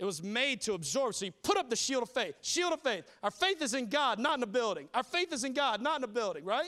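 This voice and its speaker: A man's extremely high, raised and projected voice with a bright, sharp tone, a Southern US accent, very wide pitch swings and a very fast pace. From New Orleans, then South Carolina from 14. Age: 30s. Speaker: pastor. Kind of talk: sermon. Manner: animated.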